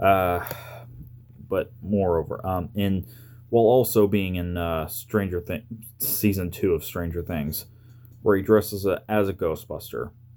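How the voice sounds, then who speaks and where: A man's fairly low, dark, mellow voice, mumbling at a fairly slow pace with ordinary pitch variation and long, frequent pauses. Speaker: YouTuber. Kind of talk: casual review talk to camera. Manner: stuttering, mumbling.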